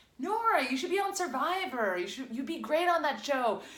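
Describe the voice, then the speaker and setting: Very wide pitch swings run through the speech over noticeable background noise. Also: woman. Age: 30s. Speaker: former accountant, wellness entrepreneur. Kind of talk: casual talk to camera.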